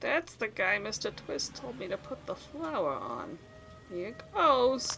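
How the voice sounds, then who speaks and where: Over clear background noise, a woman uses a put-on character voice at a fairly slow pace. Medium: audio drama. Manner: gruff, tough-guy slang.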